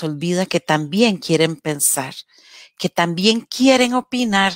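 The voice moves at a very slow pace with very wide pitch swings, and the sound is dry with no echo. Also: woman, quiet background. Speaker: radio program host. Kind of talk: casual talk show discussion. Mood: warm, expressive. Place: home room. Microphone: headset.

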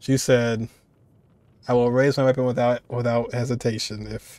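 A man's monotone, flat delivery at a moderate pace, in a dry sound with no echo. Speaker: game reaction streamer. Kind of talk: casual reaction commentary.

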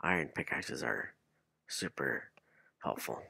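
A man talks at a fairly slow pace. The recording is very clean, with a silent background and a dry, close sound with no echo. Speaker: Minecraft streamer. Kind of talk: casual gaming livestream commentary. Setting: streaming from home with headset and microphone. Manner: filler-heavy, rambling, halting.

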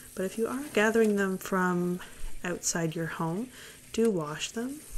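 Soft-spoken and calm, with a relaxed tone, the speaker moves at a moderate pace over light background noise. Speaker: hobby gardener. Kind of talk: soft-spoken ASMR gardening tutorial to camera. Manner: soft-spoken, calm, relaxed. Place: kitchen. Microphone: phone near.

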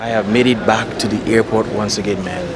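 A man talks fairly quickly in a dry sound with no echo, with noticeable background noise behind him. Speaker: travel vlogger. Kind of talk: casual vlog chat. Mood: relaxed, laughing at times. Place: station. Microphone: phone near.

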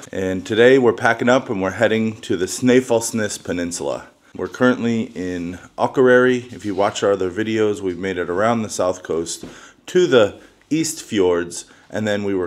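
Lively intonation from a man at a moderate pace. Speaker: travel vlogger. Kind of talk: casual vlog chat. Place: home room. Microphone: phone near.

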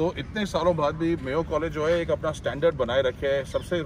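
Talking at a fast pace, a man uses a medium pitch.

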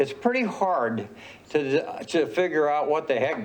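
A man speaks with an American accent and very wide pitch swings. Audible room echo surrounds his voice. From northern Idaho. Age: 80s+. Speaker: city council member. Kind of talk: council meeting remarks. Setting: public council meeting with audience. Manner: halting.

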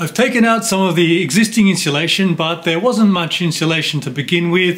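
A man talks at a moderate pace in a high pitch. His pitch varies in an ordinary way. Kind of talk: tutorial vlog explanation. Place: home room.

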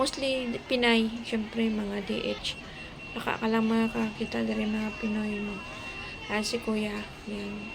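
Over noticeable background noise, a woman speaks very slowly in a Western Visayan accent. Her intonation stays monotone and flat. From Philippines, Western Visayas (Hiligaynon-speaking). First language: Hiligaynon (speaking Tagalog). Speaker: vlogger, domestic helper; vlogger. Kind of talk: vlog walk-through. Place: street. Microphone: phone near.

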